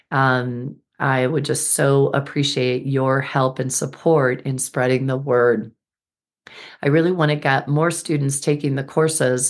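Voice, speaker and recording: Against a quiet background, a woman speaks in a very deep, low voice with monotone, flat intonation. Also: fairly slow pace. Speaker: podcast host and birth healing educator. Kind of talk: solo reflective monologue.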